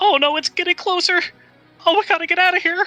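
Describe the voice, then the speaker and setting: A put-on character voice at an extremely high pitch and a very fast pace, with music in the background. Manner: panicked, alarmed.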